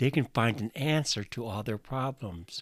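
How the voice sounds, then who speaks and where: A man with an American accent uses an ordinary speaking voice at a medium pitch, with lively intonation. The sound is dry and close with no echo, in a very clean recording with a silent background. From US Midwest, northwest Iowa. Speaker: podcast preacher. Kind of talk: sermon.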